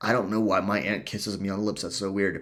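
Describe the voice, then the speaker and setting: This is a man speaking. His tone is animated. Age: 40s. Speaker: life coach podcast host. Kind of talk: solo podcast monologue.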